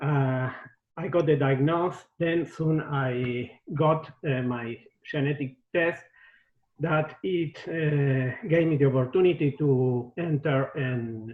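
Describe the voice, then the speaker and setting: Speaking very slowly with an Argentine accent, a man uses a fairly high pitch and fairly even intonation. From Argentina. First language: Spanish. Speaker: ALS patient in a clinical trial. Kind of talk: testimony. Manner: halting.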